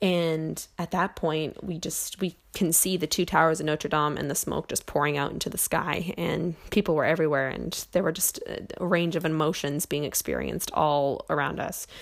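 With hardly any pauses, a woman talks at a moderate pace in a very deep, low voice with vocal fry and fairly even intonation. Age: young. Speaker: student podcaster. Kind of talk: personal storytelling. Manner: hesitant, many fillers.

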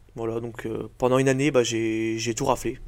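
Speaking at a moderate pace, a man delivers his words in a flat monotone on a very clean recording with a silent background. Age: 20s. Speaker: strongman athlete. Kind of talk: casual interview.

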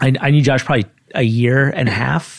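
A man speaking at a moderate pace. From Brooklyn, New York (Kensington). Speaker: venture capital fund investor. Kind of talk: interview.

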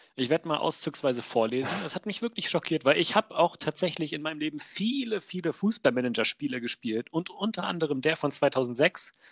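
A man with an unremarkable speaking voice talks at a fairly quick pace and fairly high pitch, with lively intonation and hardly any pauses. The sound is dry and close, with no echo. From Wolfsburg, Lower Saxony, Germany. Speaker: podcast co-host. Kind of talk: casual chat.

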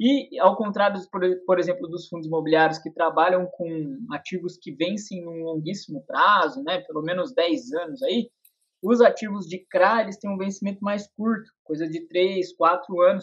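Fairly slow delivery with hardly any pauses, big swings in loudness and ordinary pitch variation. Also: man, high pitch for a man. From Brazil, interior of São Paulo state. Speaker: investment YouTuber, real estate fund specialist. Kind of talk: interview. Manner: hesitant, many fillers.

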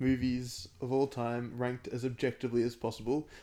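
With an Australian accent, a man speaks in a dark, mellow tone at medium pitch. The recording is very clean, with a silent background. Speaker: podcast co-host. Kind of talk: casual chat.

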